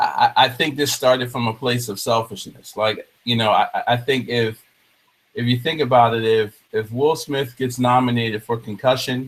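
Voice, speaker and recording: This man has an ordinary speaking voice, medium in pitch, with an American accent and fairly even intonation. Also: moderate pace. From New Jersey. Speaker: talk show host. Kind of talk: casual chat. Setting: video call.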